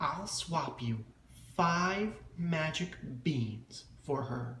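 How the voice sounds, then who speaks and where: A man puts on a croaky character voice at a fairly high pitch with lively intonation. He speaks at a very slow pace with a slight echo. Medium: read story.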